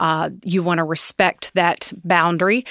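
A woman with a Southern US accent speaks at a fairly slow pace and fairly low pitch in a bright, sharp tone, the sound dry and close with no echo on a very clean recording with a silent background. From Tennessee, US South. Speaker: executive and leadership coach. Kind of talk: casual interview conversation.

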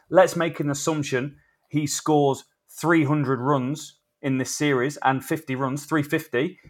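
A man with an English accent speaks at a fairly slow pace in a fairly high pitch for a man. His intonation is monotone and flat, and the recording is very clean with a silent background. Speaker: cricket podcast co-host. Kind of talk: casual chat.

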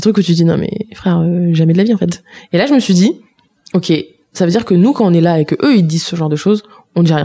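A woman with a fairly low pitch and an animated tone talks at a very fast pace with ordinary pitch variation, broken by long, frequent pauses. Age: 20s. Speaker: activist and former cook. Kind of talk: casual chat.

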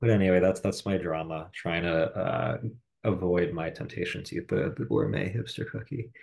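Against a quiet background, a man with a very deep, low pitch and vocal fry talks at a moderate pace with lively intonation. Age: 30s. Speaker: podcast host. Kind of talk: casual chat.

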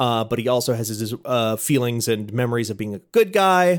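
This is a plain, everyday voice with lively intonation at a fairly quick pace. The recording is very clean, with a silent background. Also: man. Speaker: editor and podcaster. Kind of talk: casual chat.

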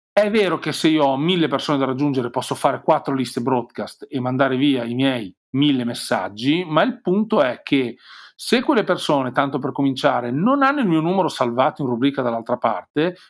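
With lively intonation and a fairly high pitch, a man talks at a moderate pace in a very clean recording with a silent background. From Romagna, Forlì. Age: 40s. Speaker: digital marketing consultant. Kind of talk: interview.

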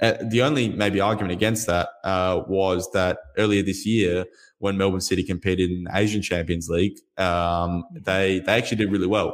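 On a very clean recording with a silent background, a man with an Australian accent speaks at a very deep, low pitch and a moderate pace, his intonation fairly even and hardly any pauses in his speech. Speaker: football journalist and editor. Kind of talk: interview.

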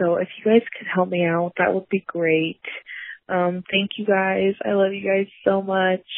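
At a fairly slow pace, a woman speaks with a medium pitch. Her intonation is monotone and flat. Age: 20s. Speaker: caller leaving a voicemail. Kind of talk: voicemail question. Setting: phone voicemail.

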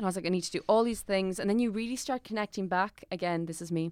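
Very fast speech comes from a woman with fairly even intonation. The recording is very clean, with a silent background. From Ireland. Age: 20s. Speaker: actor and writer. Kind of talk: casual chat.

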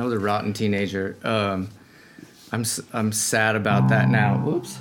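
Noticeable background noise sits behind a man with an American accent. He speaks at a fairly slow pace. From Colorado. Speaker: singer-songwriter. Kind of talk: casual chat.

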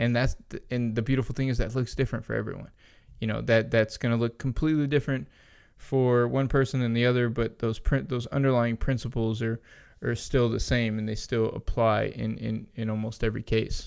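Fairly even intonation and medium pitch in a man's ordinary speaking voice. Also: fairly quick pace. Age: 30s. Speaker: nutrition professional. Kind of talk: casual interview. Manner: laughs often while talking.

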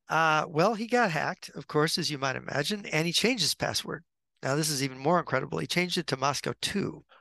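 A man's bright, sharp, fairly high voice with vocal fry, at a very fast pace and with ordinary pitch variation, dry and close with no echo, over a quiet background. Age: 60s. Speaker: author and geopolitical writer. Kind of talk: interview. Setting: video call.

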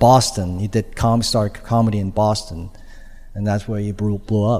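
With a Chinese accent, a man talks at a moderate pace in a fairly low, dark and mellow voice. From China. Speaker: stand-up comedian. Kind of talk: interview.

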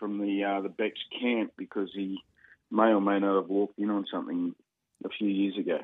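Fairly quick speech from a man in an Australian accent. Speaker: radio sports host. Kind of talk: casual radio banter.

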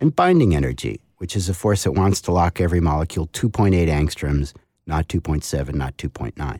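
A man speaks at a fairly quick pace with a very deep, low pitch, a dark, mellow tone and vocal fry. The sound is dry and close with no echo, in a very clean recording with a silent background. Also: ordinary pitch variation. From New England. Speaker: author. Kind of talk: interview.

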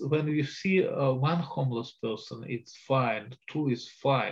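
With a Russian accent, a man speaks at a very slow pace, somewhat breathy, with lively intonation. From Soviet Union (Russia). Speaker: historian and Russia expert. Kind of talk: interview.

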